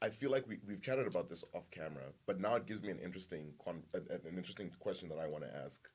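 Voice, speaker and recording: Very fast and with hardly any pauses, a man talks in a fairly low voice. His intonation is lively. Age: 30s. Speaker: podcast guest. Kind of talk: casual chat. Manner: halting, repeats words.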